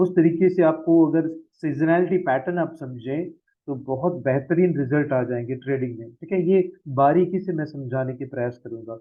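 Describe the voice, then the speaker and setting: His pitch sits fairly high. The man's pitch variation stays ordinary. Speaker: forex trading trainer. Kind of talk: sales presentation of a training course. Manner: slow, relaxed and casual; quieter than usual.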